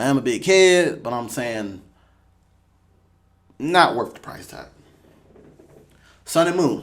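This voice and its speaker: A fairly high-pitched man at a very slow pace, with lively intonation, big swings in loudness, long, frequent pauses and audible room echo. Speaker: gaming youtuber. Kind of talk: casual commentary. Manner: animated.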